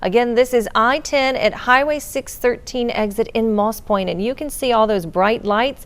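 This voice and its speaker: Over noticeable background noise, a woman speaks high at a moderate pace with ordinary pitch variation. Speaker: TV news anchor. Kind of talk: morning TV news anchoring.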